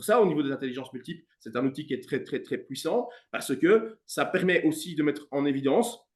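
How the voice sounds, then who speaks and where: Fairly quick male speech at a fairly high pitch, its pitch swinging very widely. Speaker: music teacher and coach. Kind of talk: interview. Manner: fast.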